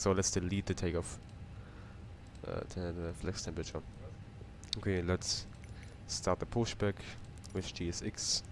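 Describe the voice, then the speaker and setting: A man talks at a moderate pace in a very deep, low voice. His intonation is flat and monotone, broken by long, frequent pauses. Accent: German. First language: German. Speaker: flight sim streamer. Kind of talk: live stream commentary. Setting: home flight simulator stream. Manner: casual, repetitive, halting.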